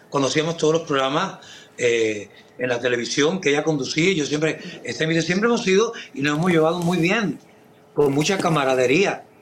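Over noticeable background noise, a man speaks at a moderate pace with a fairly high pitch, lively intonation and very even loudness. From Cuba. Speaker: singer and actor. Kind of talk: casual interview.

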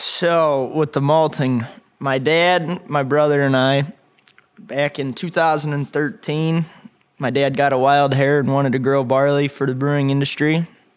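A fairly slow, monotone delivery with flat intonation, very even loudness and an American accent. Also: man, fairly high pitch for a man. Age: 20s. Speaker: young farmer. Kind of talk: interview. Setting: on location at a winery.

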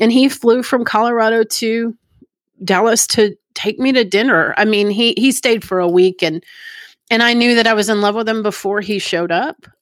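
In a Texan accent, a woman talks at a moderate pace with a fairly high pitch and ordinary pitch variation, in a very clean recording with a silent background. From Plano, Texas. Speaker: recovering alcoholic. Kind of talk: testimony.

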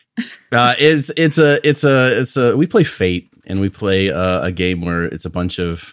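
A man talks at a fairly slow pace. His very deep, low voice swings very widely in pitch. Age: 40s. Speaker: guest movie picker. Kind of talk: casual chat. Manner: halting, many repetitions.

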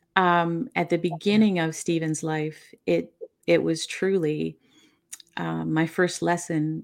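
A woman at a fairly slow pace, on a very clean recording with a silent background. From Newfoundland, Canada. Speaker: author and bereaved mother. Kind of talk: interview. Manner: soft-spoken.

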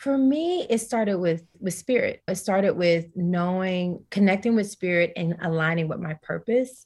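A woman talks with an American accent and a somewhat breathy voice. Her pitch varies in an ordinary way. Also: medium pitch for a woman, moderate pace, hardly any pauses. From US South, Tennessee. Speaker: wellness coach and yoga teacher. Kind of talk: casual interview.

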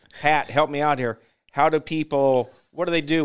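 Against a quiet background, a man with an American accent speaks at a moderate pace, his fairly high voice held to a fairly even intonation. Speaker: podcast host, cattle breeder. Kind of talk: casual interview chat. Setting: studio.

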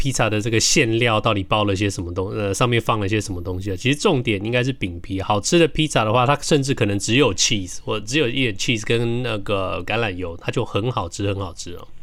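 Noticeable background noise runs behind this voice. A man talks very fast at a fairly low pitch. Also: ordinary pitch variation. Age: middle-aged. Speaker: podcast co-host. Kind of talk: casual chat.

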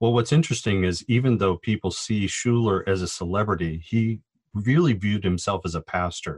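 In a very clean, silent recording with a dry, close sound and no echo, a man with an American accent and a fairly low pitch speaks in a normal speaking voice with ordinary pitch variation. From Southern California, Orange County. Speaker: sociology professor. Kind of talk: interview.

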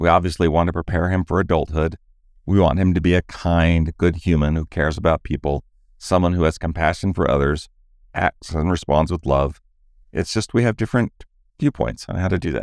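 Here a man with a very deep, low pitch talks at a fairly quick pace. The sound is dry and close with no echo, in a very clean recording with a silent background. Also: ordinary pitch variation. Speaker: relationship podcast host and coach. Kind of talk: podcast conversation between married co-hosts.

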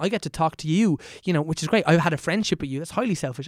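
On a very clean recording with a silent background, a man speaks at a fairly high pitch with a slightly mellow tone.

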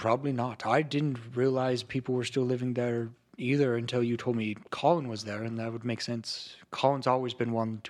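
An unforced reading voice of fairly even intonation

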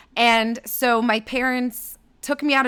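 A woman speaks with a bright, sharp tone. Her pitch is fairly high. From Canada, Toronto suburbs. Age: 30s. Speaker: digital marketing and creator partnerships executive. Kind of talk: casual interview.

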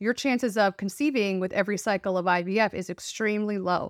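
A woman with a Californian accent at medium pitch, fairly even intonation and a moderate pace, in a dry, close sound with no echo. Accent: Californian American. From Los Angeles, US West Coast. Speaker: author. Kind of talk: interview, casual chat.

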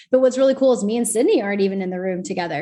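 Her pitch sits at a medium level for a woman, with ordinary variation as she speaks. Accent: American. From Texas. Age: 20s. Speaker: podcast host. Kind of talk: casual chat.

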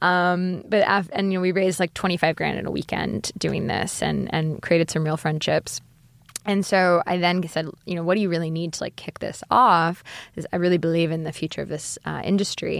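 At a fairly quick pace, a woman with a normal speaking voice talks at a fairly low pitch with fairly even intonation, on a very clean recording with a silent background. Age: 30s. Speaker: food startup co-founder and CEO. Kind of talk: casual interview.

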